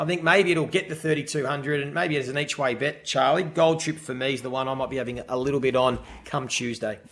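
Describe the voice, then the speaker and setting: A man with an Australian accent, fairly high in pitch, with ordinary pitch variation and a fairly quick pace, over noticeable background noise. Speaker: racing podcast host. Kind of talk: casual chat about horse racing tips.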